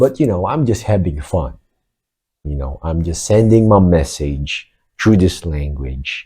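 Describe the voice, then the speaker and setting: In a very clean recording with a silent background, a man speaks at a fairly slow pace in a very deep, low voice. His tone is dark and mellow, somewhat breathy, with lively intonation. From Philippines. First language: Filipino (Tagalog). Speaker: vlogger. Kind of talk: casual monologue. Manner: hesitant, with fillers.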